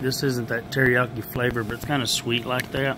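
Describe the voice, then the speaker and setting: The speaker is a man. Background noise is noticeable. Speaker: food reviewer. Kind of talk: casual taste-test vlog chat. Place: hall. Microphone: phone near.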